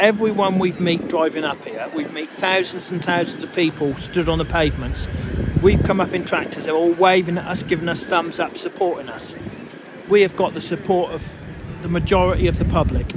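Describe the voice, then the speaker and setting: Noticeable background noise surrounds a man with a high voice. He talks at a fairly quick pace with fairly even intonation. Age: 60s. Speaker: farmer. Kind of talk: street interview. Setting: outdoors at street rally.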